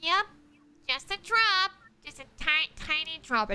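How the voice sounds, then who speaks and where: A put-on character voice, female-sounding, nasal and extremely high-pitched, at a moderate pace. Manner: teasing, repeating.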